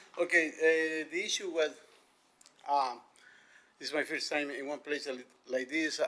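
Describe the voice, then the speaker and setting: A man with a non-native accent and a bright, sharp tone. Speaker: community member speaking at town hall. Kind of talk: public comment at town hall. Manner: halting.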